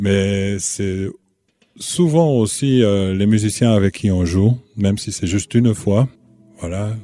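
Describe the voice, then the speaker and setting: Very slow and fairly low-pitched, a man speaks with a dark, mellow tone and ordinary pitch variation. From Belgium. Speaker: musician. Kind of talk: interview.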